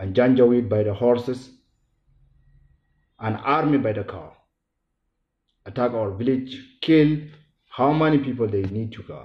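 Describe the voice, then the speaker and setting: In a Sudanese accent, a man speaks at a medium pitch with ordinary pitch variation. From Sudan, Darfur. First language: not English. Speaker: genocide survivor speaker. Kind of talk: public speech. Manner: halting.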